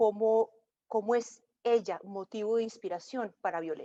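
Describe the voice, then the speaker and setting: A woman with a fairly high pitch and a dark, mellow tone is recorded with a dry, close sound and no echo. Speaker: interviewer. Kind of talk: interview. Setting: video call.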